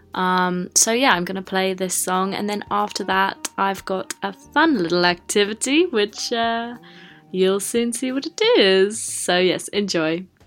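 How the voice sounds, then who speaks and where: Noticeable background noise sits behind a woman who talks fairly slowly at medium pitch, her tone relaxed and upbeat and her intonation lively. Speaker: radio presenter. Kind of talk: radio DJ patter, pre-recorded show intro and music links. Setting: home recording on laptop microphone, played on air. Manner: chatty, relaxed and upbeat, with filler 'um' and 'uh' hesitations; self-deprecating and casual, rambling a little as she explains.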